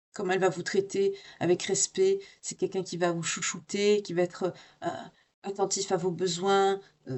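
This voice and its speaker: A woman speaks at a moderate pace in a medium pitch. Her intonation is monotone and flat, with long, frequent pauses. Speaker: tarot reader. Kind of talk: tarot reading. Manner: hesitant.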